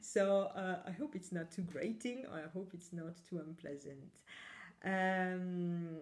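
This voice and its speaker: The pace is very slow. A woman talks at a medium pitch that varies in an ordinary way. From Italy. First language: Italian. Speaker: knitting podcaster. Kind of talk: casual chat. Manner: hesitant, many fillers.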